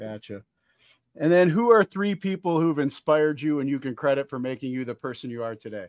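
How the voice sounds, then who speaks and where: Against a quiet background, a man with a fairly high pitch and an ordinary speaking voice talks with lively intonation in a dry, close sound with no echo. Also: fairly quick pace. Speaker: podcast host, military veteran. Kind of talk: casual interview.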